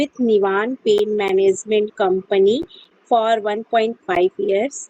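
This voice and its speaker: The dry, close sound with no echo carries a woman's fairly high voice with ordinary pitch variation. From India, Uttar Pradesh (Mirzapur). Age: 20s. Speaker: physiotherapist, English learner. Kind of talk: mock interview practice. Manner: halting, many fillers.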